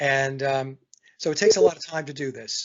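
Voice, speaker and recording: Somewhat breathy and medium in pitch, a man's voice moves at a moderate pace. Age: 60s. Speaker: songwriter and guitarist. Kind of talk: casual chat. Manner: halting.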